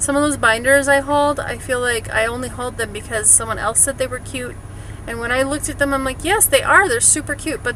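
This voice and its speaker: Against noticeable background noise, a woman with an American accent speaks fairly quickly at a high pitch with fairly even intonation. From Wisconsin. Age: 40s. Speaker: vlogger. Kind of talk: casual vlog chat. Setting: in a car.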